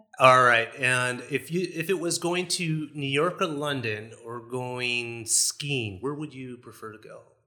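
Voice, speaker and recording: With a Chicago accent, a man speaks at a fairly slow pace with hardly any pauses, using a medium pitch and ordinary pitch variation. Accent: Chicago American. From US, Chicago. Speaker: podcast host, real estate broker. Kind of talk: casual family chat.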